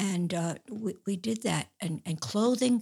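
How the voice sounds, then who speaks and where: A somewhat breathy woman's voice with an American accent. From New York City (Queens). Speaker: pro-life volunteer. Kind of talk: interview.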